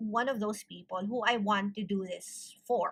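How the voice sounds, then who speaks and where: A woman is speaking. Her tone is bright and sharp. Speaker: tarot reader. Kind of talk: tarot reading with Taglish chat. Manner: casual Taglish code-switching.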